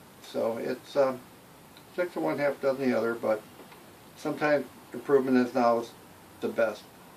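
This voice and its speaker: At a moderate pace, a man with an American accent and a medium pitch speaks with ordinary pitch variation and long, frequent pauses over noticeable background noise. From Michigan, Detroit area. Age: 70s. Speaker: local resident interviewee. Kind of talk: interview. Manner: hesitant, many fillers.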